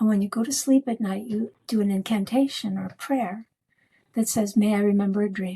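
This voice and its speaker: This woman's tone is dark and mellow. Her voice is somewhat breathy. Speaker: psychotherapist and dreamworker. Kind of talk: podcast interview. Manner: animated.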